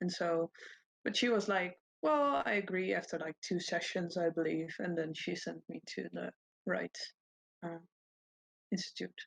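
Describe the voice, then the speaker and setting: Pacing is moderate, with long, frequent pauses. The woman's voice sounds dry and close, with no echo. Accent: non-native. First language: Dutch. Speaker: podcast guest. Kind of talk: casual chat.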